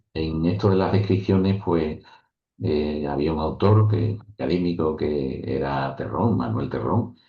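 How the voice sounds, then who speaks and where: Speaking at a fairly slow pace, a man with a very deep, low voice sounds somewhat breathy, and his intonation is lively. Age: 60s. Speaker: author and professor. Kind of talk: interview.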